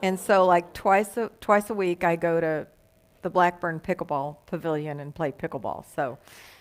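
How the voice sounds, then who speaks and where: Speaking in a Texas accent, a woman talks at a moderate pace with a fairly low pitch and ordinary pitch variation. The recording is very clean with a silent background. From Texas, Dallas. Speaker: guest minister. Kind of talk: sermon.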